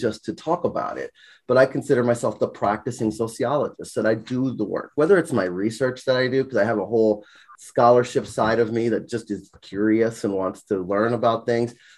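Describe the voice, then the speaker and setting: A man has an ordinary speaking voice at a medium pitch, with ordinary pitch variation. His pace is fairly quick, and the background is quiet. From US Virgin Islands, St. Croix. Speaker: college sociology instructor. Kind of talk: casual interview.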